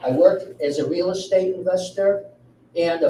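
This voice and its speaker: With a Chicago accent, a man talks at a moderate pace and with fairly even intonation over noticeable background noise. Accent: Chicago-area American. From Chicago suburbs, Illinois. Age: 60s. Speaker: village election candidate. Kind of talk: campaign speech at candidate forum.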